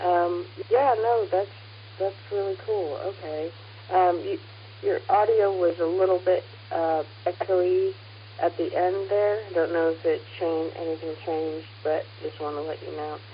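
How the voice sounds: A woman's fairly low-pitched voice at a fairly slow pace, with fairly even intonation.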